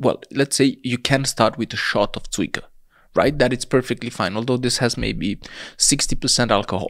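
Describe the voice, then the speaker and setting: A man with a Romanian accent speaks at a medium pitch and moderate pace on a very clean recording with a silent background. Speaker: hemp clothing entrepreneur. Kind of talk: casual interview chat.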